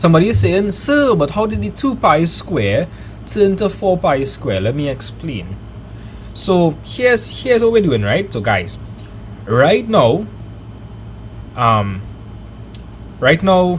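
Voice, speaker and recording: Noticeable background noise sits behind a man with a Trinidadian accent. He speaks at a fairly slow pace with long, frequent pauses. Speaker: maths teacher streamer. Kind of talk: live online maths lesson. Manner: animated.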